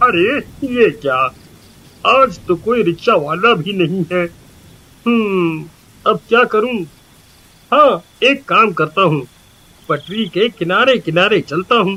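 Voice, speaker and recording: A man puts on a cartoonish character voice, raised and projected at a high pitch. He goes at a fairly slow pace with long, frequent pauses. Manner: stammering, fearful.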